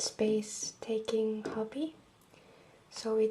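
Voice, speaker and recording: Soft-spoken, a woman talks with an Icelandic accent. Her pitch is fairly high. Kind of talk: ASMR room tour.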